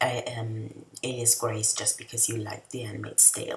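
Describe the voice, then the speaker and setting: The speaker has a non-native accent. Noticeable background noise is present. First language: not English. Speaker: video essayist / TV reviewer. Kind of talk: casual review monologue. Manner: hesitant, many fillers.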